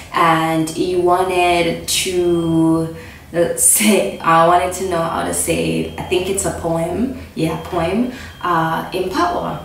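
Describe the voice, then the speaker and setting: A woman speaks very slowly while noticeable noise runs in the background. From Jamaica. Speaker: vlogger. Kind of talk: casual talk to camera.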